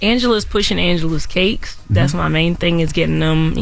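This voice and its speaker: Someone talks at a fairly quick pace in a Southern US accent. Background noise is noticeable. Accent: Southern American. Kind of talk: casual, conversational.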